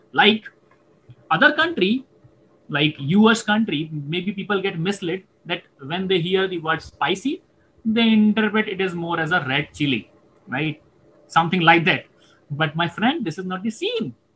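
The pitch varies in an ordinary way. Long, frequent pauses break up the speech. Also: man, high pitch for a man, moderate pace. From India, Indore. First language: Hindi. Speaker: podcaster and Hindi poet. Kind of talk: casual interview.

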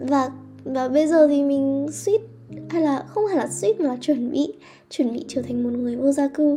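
Over noticeable background noise, a woman with a high pitch talks at a fairly slow pace with ordinary pitch variation. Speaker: podcast host. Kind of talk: personal monologue. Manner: halting, many fillers.

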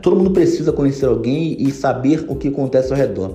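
With noticeable background noise and audible room echo, a man speaks at a fairly high pitch. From Brazil, Rio de Janeiro. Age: 30s. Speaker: marketing agency owner. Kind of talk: podcast interview.

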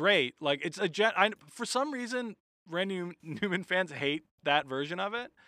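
Lively intonation shapes an unremarkable speaking voice. It moves at a moderate speed. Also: man. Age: 30s. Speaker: comedian. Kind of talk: casual chat.

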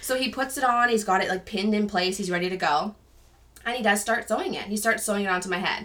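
This woman talks at a very fast pace with a bright, sharp, animated tone. Her pitch sits in the medium range with ordinary variation. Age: 20s. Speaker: stay-at-home mom sharing her alopecia experience. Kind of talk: casual interview chat. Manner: animated storytelling.

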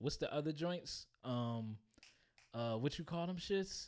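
A man at a moderate pace, with lively intonation. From Maryland. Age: 20s. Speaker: podcast co-host. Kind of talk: casual chat.

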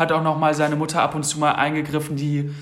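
This man speaks in a fairly high pitch. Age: 20s. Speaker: podcast co-host. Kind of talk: casual chat.

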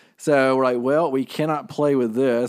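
A man talks fairly quickly at a medium pitch. He has a plain, everyday voice. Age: 30s. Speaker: marketing podcast co-host. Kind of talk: casual business podcast chat.

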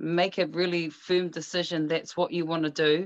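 With a New Zealand accent, a woman speaks at a fairly low pitch with fairly even intonation, in a dry, close sound with no echo against a quiet background. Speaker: actress, singer and life coach. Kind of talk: casual interview.

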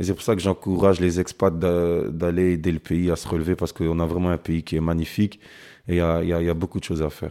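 Very deep and low, this man's voice has a dark, mellow tone and a monotone, flat delivery at a fairly quick pace. The recording is very clean with a silent background. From Brussels, Belgium (born in Kinshasa). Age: 30s. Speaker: professional footballer. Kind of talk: interview. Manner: halting, frequent repetitions and hesitations.

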